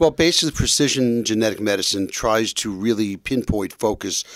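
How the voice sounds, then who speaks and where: This man speaks in an unremarkable speaking voice with an American accent, fairly low in pitch with ordinary pitch variation, at a moderate pace, in a dry, close sound with no echo on a very clean recording with a silent background. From New York. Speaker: family physician. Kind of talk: radio interview.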